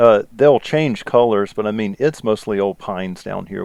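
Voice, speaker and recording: A man speaks in a Southern US accent at a moderate pace. His pitch is fairly low, with ordinary pitch variation. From US South, South Carolina. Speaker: podcast host, police interrogation instructor, former detective. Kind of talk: casual podcast chat. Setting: recorded podcast.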